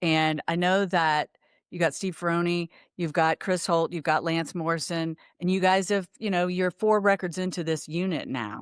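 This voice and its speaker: A woman with an American accent and a fairly low pitch speaks at a moderate pace in a plain, everyday voice, with ordinary pitch variation and a dry, close sound with no echo. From US South. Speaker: podcast host. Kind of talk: interview.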